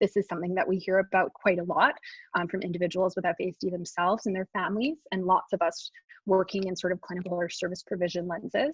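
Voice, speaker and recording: A woman's somewhat breathy, medium-pitched voice at a very fast pace, with fairly even intonation. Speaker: psychology researcher presenting study findings. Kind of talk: webinar lecture presentation. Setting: online webinar.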